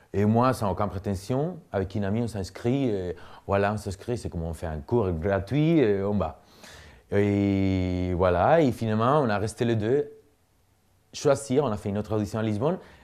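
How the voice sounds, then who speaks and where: A man talks at a moderate pace against a quiet background. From Spain, Cuenca (Castile). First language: Spanish (speaking French). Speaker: artist and dancer. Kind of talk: interview, personal story. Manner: halting, many fillers and repetitions.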